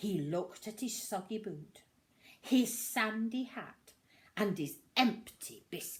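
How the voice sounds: Lively intonation in a natural reading voice.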